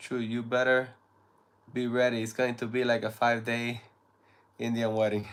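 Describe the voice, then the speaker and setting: A man's medium-pitched voice in a Spanish accent, monotone and flat, at a moderate pace with long, frequent pauses. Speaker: live streamer. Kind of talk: casual chat. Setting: live stream.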